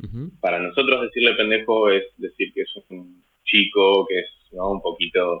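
A man is talking. His pace is fairly slow. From Argentina, Lanús, Buenos Aires province. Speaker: Argentine emigrant interviewee. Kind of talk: casual interview.

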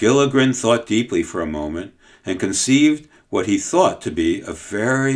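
An unforced reading voice is heard here.

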